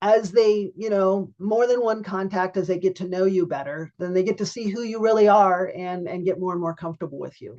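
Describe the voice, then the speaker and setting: At a fairly quick pace, a woman speaks in a medium-pitched voice with a dark, mellow tone and fairly even intonation. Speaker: sales workshop presenter. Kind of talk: webinar presentation. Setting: video call. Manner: fast.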